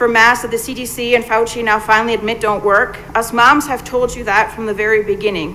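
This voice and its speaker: Over noticeable background noise, a woman speaks at a fairly quick pace with a fairly high pitch and fairly even intonation. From foreign country. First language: not English. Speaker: parent at public comment. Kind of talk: public comment speech. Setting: school board meeting.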